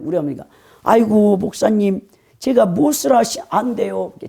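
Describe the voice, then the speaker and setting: A put-on character voice, raspy and fairly high in pitch, moves at a moderate pace. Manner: pleading, deferential.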